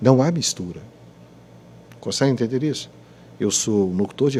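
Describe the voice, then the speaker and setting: A man's medium-pitched voice, dark and mellow in tone, with lively intonation. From Rio de Janeiro state, Brazil (Petrópolis). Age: 60s. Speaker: radio announcer. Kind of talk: podcast interview, religious testimony. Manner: halting, repetitive.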